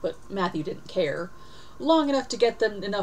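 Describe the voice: This plain reading aloud has lively intonation throughout.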